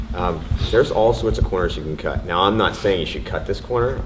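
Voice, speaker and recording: A loud man with a very deep, low pitch talks at a fairly quick pace over noticeable background noise, with audible room echo. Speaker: indie game developer on panel. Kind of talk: panel discussion.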